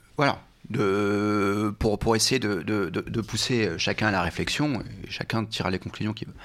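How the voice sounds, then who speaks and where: The speech moves fairly slowly, with ordinary pitch variation, against noticeable background noise. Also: man, fairly low pitch for a man. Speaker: former lobbyist, trainee judge. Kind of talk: interview. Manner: hesitant, many fillers; warm.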